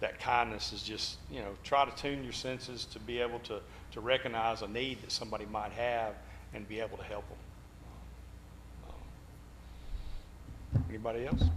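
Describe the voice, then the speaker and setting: There is audible room echo as a man speaks at a moderate pace. His loudness swings widely. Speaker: Bible class teacher. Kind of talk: Bible class discussion.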